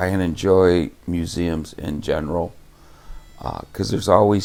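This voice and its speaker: Over music in the background, a man with an American accent talks at a fairly slow pace in a very deep, low pitch with fairly even intonation. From US Pacific Northwest, southwest Washington. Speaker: local resident interviewee. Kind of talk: documentary interview.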